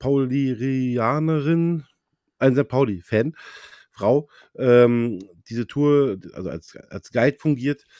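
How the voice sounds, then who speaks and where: At a very slow pace with long, frequent pauses, a man speaks in a dark, mellow tone with ordinary pitch variation, the sound dry with no echo over a quiet background. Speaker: football fan insider; fan podcast host. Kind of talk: casual chat. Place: home room. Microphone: clear new mic; studio mic.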